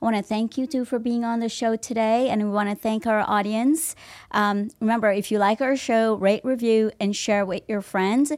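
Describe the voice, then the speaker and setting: A woman talks at a moderate pace in an unremarkable speaking voice, fairly high-pitched with fairly even intonation. The recording is very clean, with a silent background. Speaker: podcast host. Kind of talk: interview. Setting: studio. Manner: warm and effusive.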